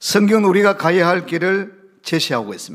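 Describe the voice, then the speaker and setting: A man at a moderate pace. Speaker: pastor. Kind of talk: sermon. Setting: church service. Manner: strong, emphatic intonation.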